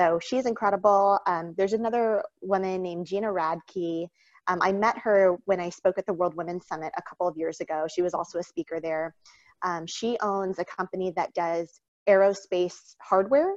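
At a moderate pace, a woman with a normal speaking voice and medium pitch talks with fairly even intonation, her sound dry and close with no echo. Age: 30s. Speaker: entrepreneur and congressional candidate. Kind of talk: interview.

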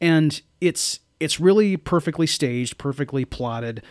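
An ordinary speaking voice with lively intonation comes through dry and close, with no echo, on a very clean recording with a silent background. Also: man. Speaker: podcast host. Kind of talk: casual chat about movies.

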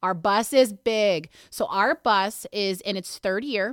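A woman talks with an American accent in an ordinary speaking voice with ordinary pitch variation. The sound is dry and close, with no echo. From western Pennsylvania, Mercer County. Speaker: food bank staff member. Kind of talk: casual interview.

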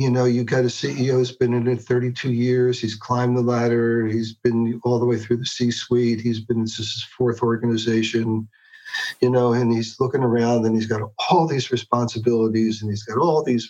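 Using a plain, everyday voice, a man talks at a moderate pace with a medium pitch and fairly even intonation. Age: 60s. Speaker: executive coach. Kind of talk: interview conversation.

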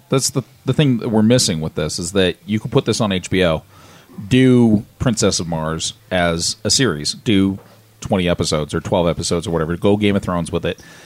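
A man's plain, everyday voice, fairly low in pitch, fairly quick, with lively intonation and a dry, close sound with no echo. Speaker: podcast co-host. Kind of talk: casual chat.

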